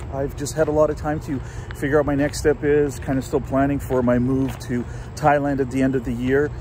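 The speech moves at a moderate pace in a dry sound with no echo, with light background noise. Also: man. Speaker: vlogger. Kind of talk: casual vlog chat. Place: waterside. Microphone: phone near.

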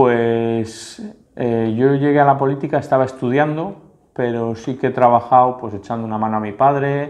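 A man talks at a moderate pace with fairly even intonation. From Spain, Santander (Cantabria); Spain. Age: 30s. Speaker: local politician. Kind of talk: interview answers; interview answer. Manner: halting, with fillers and repetitions. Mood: relaxed, reflective. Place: office. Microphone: lapel.

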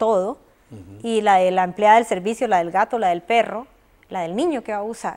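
The woman's delivery moves at a fairly quick clip. Behind her, things stay quiet. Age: 40s. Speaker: abuse survivor. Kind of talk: testimony. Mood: emotional personal testimony. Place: studio. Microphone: lapel.

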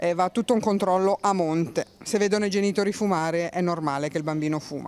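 A woman talks at a very fast pace, her medium pitch moving with ordinary variation. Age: 60s. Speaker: passer-by interviewee. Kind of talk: street interview.

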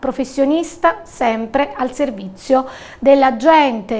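High pitch and ordinary pitch variation from a woman. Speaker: news anchor. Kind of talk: news reading. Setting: studio. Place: studio. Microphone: lapel.

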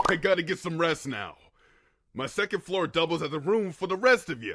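In a cartoonish character voice pitched high, a man talks at a fairly quick pace. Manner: upbeat, enthusiastic.

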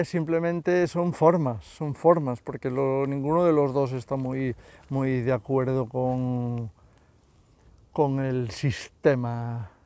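A man at a very slow pace, with ordinary pitch variation and a dry sound with no echo. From Spain. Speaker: YouTuber commentator. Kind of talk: casual monologue vlog. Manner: halting, many fillers and repetitions. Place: open country. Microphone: phone near.

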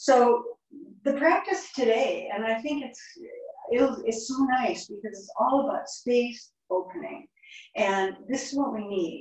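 Against a quiet background with audible room echo, a woman with a high pitch speaks in a calm tone at a very slow pace, with lively intonation and big swings in loudness. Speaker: yoga instructor. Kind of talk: guided yoga class, step-by-step verbal cueing. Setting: online yoga class. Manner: calm, instructional, unhurried, gently encouraging. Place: home room. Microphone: camera far.

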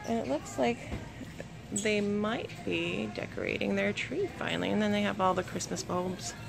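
A woman speaks at a fairly slow pace. Music can be clearly heard behind her. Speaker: mother vlogger. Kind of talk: casual vlog chat. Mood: upbeat, enthusiastic. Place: shop. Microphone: phone near.

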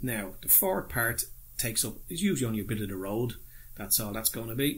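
A man's fairly low, somewhat breathy voice with an Irish accent. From Ireland. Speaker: model railway hobbyist YouTuber. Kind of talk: tutorial. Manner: casual, hesitant with fillers. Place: home room. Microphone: phone near.

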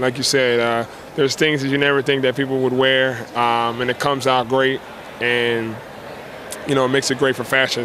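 Noticeable background noise sits under a man speaking at a moderate pace. His intonation is flat and monotone, and the sound is dry with no echo. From South Jersey; New Jersey. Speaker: professional basketball player. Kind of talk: interview. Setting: fashion show event. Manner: halting, many fillers. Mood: relaxed, friendly. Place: bar. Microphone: handheld.

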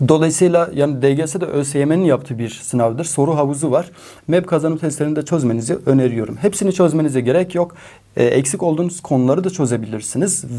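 This man speaks at a fairly quick pace with a fairly high pitch and ordinary pitch variation. His tone is dark and mellow. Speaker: math teacher. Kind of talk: exam advice talk to students. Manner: animated, encouraging.

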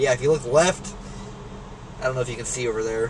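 There's light background noise as a man speaks in an animated tone with lively intonation. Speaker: EMS worker and vlogger. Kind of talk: angry rant, profane vlog rant while driving. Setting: in a car. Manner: loud, fast, profane, animated, venting and laughing at himself. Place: car. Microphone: phone near.

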